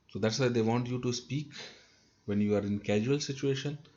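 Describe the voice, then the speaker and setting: A man with a North Indian accent speaks in a somewhat breathy voice. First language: Hindi. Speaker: trainer. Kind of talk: lecture.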